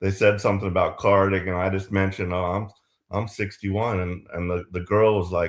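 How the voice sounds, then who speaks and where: With monotone, flat intonation, a man talks fairly quickly at a fairly low pitch. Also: very clean recording, silent background. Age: 60s. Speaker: yoga practitioner in a group session. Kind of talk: casual chat. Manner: halting, many fillers.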